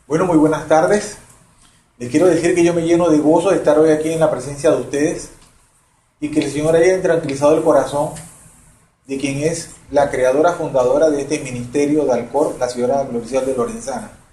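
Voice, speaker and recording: A voice moves at a fairly quick pace with audible room echo. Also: man, fairly high pitch for a man, ordinary pitch variation. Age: 60s. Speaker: retired banker. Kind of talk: testimony.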